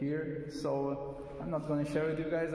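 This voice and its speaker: With noticeable background noise and audible room echo, a man with a non-native accent speaks at a fairly slow pace and a fairly high pitch. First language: not English. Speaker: DIY car mechanic vlogger. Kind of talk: casual vlog walkthrough. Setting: empty garage. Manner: halting, many filler sounds.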